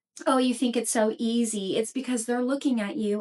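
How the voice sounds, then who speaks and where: This woman's voice sits at a fairly high pitch. Her pitch varies in an ordinary way. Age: 30s. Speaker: podcast host. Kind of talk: casual solo podcast talk. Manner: deliberately slower than usual.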